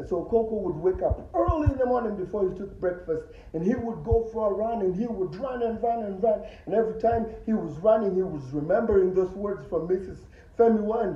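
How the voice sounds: A man at a high pitch, fairly quick with few pauses and lively intonation, amid audible room echo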